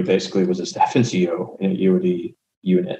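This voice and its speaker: With an American accent, a man speaks in a dark, mellow tone while his pitch swings very widely. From San Antonio, Texas. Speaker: war veteran. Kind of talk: casual chat.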